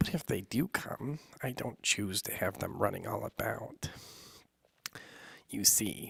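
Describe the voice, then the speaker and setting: In a put-on character voice, a man whispers raspily at a fairly slow pace with long, frequent pauses, the sound dry and close with no echo. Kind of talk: bedtime story. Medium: read story. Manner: mild, rambling, faintly anxious.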